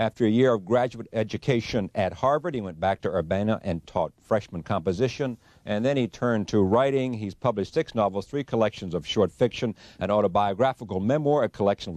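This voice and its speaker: With an ordinary speaking voice, a man talks at a fairly quick pace and fairly low pitch, his intonation lively and the sound dry and close with no echo. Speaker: TV interviewer. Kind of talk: interview introduction.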